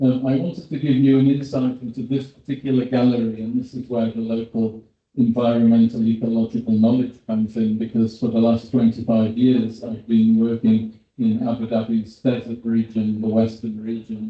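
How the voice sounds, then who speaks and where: Speaking at medium pitch and a moderate pace, a man keeps a monotone, flat intonation. He hardly pauses at all. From Britain. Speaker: paleontologist. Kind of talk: conference presentation.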